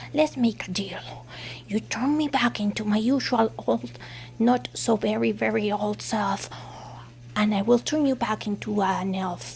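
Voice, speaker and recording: A put-on character voice at middle pitch moves at a moderate pace over light background noise. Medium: solo performance.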